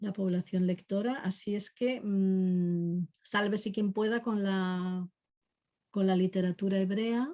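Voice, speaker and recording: A woman with a medium-pitched voice speaks very slowly, keeping her intonation fairly even. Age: 60s. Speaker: literary translator. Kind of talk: online talk. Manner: hesitant, many fillers.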